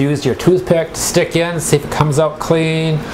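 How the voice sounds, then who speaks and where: Against noticeable background noise and audible room echo, a man talks at a fairly high pitch. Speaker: cooking show host. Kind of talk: tutorial. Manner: halting.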